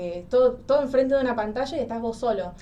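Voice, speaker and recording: A woman rattles off her words very fast, with noticeable background noise behind her. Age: 20s. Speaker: psychology student. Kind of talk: interview.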